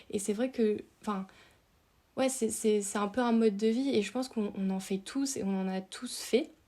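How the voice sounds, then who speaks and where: Intonation stays fairly level across a dark, mellow tone. Delivery moves at an average speed. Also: woman. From France, Dordogne. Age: 30s. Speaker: outdoor content creator. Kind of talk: podcast interview. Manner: hesitant, many fillers.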